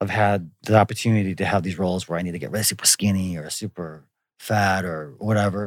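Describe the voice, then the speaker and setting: In an American accent, an unremarkable speaking voice moves at a fairly quick pace on a very clean recording with a silent background. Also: man. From US Midwest, Wisconsin. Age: 40s. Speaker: actor. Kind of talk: casual chat.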